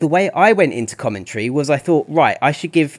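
A man with a British accent and lively intonation, on a very clean recording with a silent background. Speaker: artist and esports commentator. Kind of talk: casual chat.

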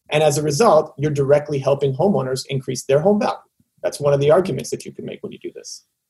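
This dark, mellow, somewhat breathy voice has a Canadian accent and ordinary pitch variation. It moves at a very fast pace, with big swings in loudness. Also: man, fairly high pitch for a man. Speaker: tech company guest, former advertising founder. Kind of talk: casual interview chat. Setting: video call.

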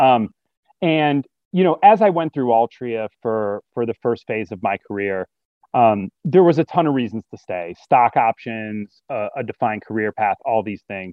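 Lively intonation and a moderate pace mark this voice with a Midwestern American accent. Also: man, medium pitch for a man. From US Midwest, Metro Detroit, Michigan. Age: 40s. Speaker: business executive, alumnus. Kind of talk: interview. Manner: halting, with repetitions and fillers.

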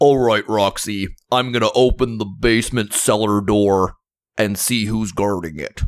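A man performs a put-on character voice at a moderate pace. The recording is very clean, with a silent background. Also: fairly low pitch for a man. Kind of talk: comic overacting. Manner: brash, confident, macho.

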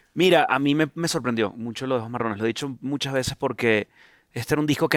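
A man with a Venezuelan accent talks at a very fast pace. His medium-pitched voice sounds dry and close, with no echo. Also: very clean recording, silent background. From Venezuela, Caracas. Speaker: singer-songwriter. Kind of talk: casual chat. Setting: studio.

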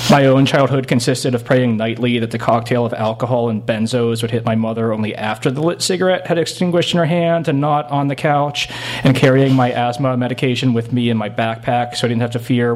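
Speech comes at a very fast pace with hardly any pauses, over noticeable background noise. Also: man. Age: 30s. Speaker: novelist. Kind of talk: reading aloud. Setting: stage with audience. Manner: animated.

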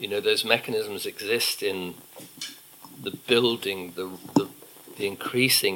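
Noticeable background noise sits behind a man speaking at a moderate pace with a British accent. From UK. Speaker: ecological economist and author. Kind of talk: live onstage conversation. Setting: stage with audience.

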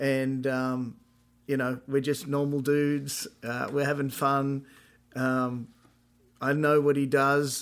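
A man with an Australian accent speaks at a very slow pace in a fairly high pitch, his flat, monotone delivery broken by long, frequent pauses. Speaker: podcast host and musician. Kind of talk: casual chat.

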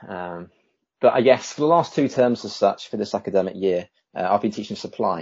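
With an English accent, a man talks at a fairly quick pace in a fairly low pitch and ordinary pitch variation. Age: 30s. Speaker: teacher. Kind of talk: interview. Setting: video call.

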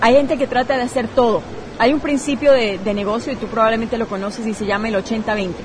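A woman's fairly high voice at a very fast pace, with crowd noise in the background. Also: ordinary pitch variation. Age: 30s. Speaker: parenting coach and blogger. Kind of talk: interview. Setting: hotel lobby at a conference.

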